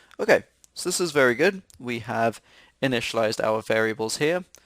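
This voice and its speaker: At a medium pitch, a man talks at a fairly quick pace with lively intonation in a dry, close sound with no echo. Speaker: programming instructor. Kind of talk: tutorial. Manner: fast.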